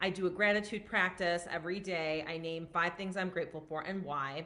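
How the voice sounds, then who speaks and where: A woman speaks loudly at a moderate pace with medium pitch, a bright, sharp tone and fairly even intonation. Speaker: physician and wellness coach. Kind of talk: live stream talk. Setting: at parents' house, live stream. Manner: casual, filler-heavy.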